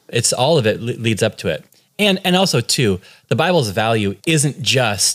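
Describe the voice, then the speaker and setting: A plain, everyday voice with lively intonation at a moderate pace. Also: man. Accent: American. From California. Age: 30s. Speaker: pastor. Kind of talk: casual interview.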